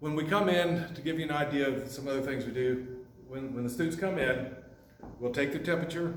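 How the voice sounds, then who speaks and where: The speech comes at a fairly quick pace with fairly even intonation. Audible room echo and noticeable background noise fill the recording. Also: man, fairly high pitch for a man. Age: 60s. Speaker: carpentry instructor. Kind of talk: informal address to parents. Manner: casual, with fillers.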